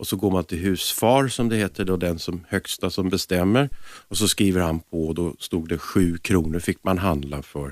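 A man with a very deep, low voice speaks at a moderate pace with ordinary pitch variation. The sound is dry and close, with no echo. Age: 50s. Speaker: jazz singer. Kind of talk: radio interview.

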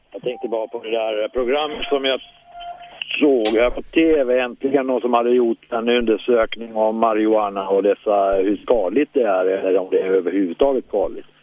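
Music plays in the background as a man talks at a moderate pace. His pitch is medium, with ordinary variation. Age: 60s. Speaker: caller. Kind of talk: phone-in call. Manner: halting.

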